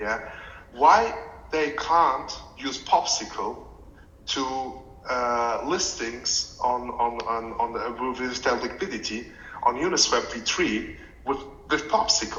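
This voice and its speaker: Amid audible room echo, a man of medium pitch talks at a very slow pace with lively intonation and long, frequent pauses. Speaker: community member, finance professional. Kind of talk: community call question. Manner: halting, many repeated words.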